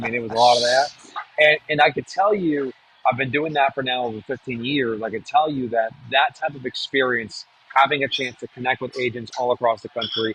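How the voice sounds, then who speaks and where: At a fairly quick pace, a man talks at a medium pitch with ordinary pitch variation, the sound dry and close with no echo despite noticeable background noise. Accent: American. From New Hampshire, US. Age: 40s. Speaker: real estate marketing trainer. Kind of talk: webinar presentation. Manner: fast.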